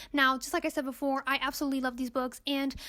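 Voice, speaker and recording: A woman with a non-native accent speaks very fast in a high, animated voice. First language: not English. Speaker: booktuber. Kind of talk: casual book review monologue.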